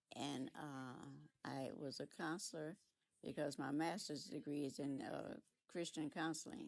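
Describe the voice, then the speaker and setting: A woman's very deep, low voice with vocal fry, ordinary pitch variation, and a fairly slow pace. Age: 80s+. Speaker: retired teacher and counselor. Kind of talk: casual chat.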